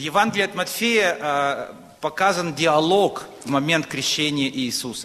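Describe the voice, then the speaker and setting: Speaking fairly slowly, a man uses a fairly high pitch with ordinary pitch variation. Noticeable background noise runs underneath. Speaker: preacher. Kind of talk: sermon.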